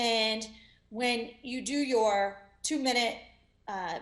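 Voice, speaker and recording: Audible room echo surrounds a woman's fairly high voice. Her pitch varies in an ordinary way. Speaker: motivational speaker and entrepreneur. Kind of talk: interview.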